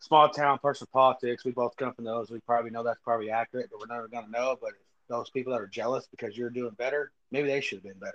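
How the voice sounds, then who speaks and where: With a Texan accent, a man at medium pitch talks very fast in a monotone, flat way, his loudness swinging widely in a dry, close sound with no echo. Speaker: podcast host. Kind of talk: casual chat.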